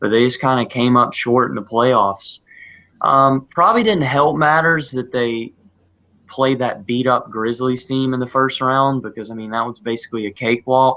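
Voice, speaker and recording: In a Southern US accent, a man speaks at a moderate pace with a medium pitch, a bright, sharp tone and fairly even intonation against a quiet background. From US South, South Carolina. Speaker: sports podcast co-host. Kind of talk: casual chat. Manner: halting.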